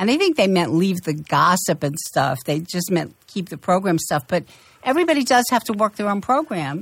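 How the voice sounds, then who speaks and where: This woman talks at a moderate pace in a medium pitch, somewhat breathy. Her pitch swings very widely. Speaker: person in recovery, former travel agent. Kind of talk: casual radio talk.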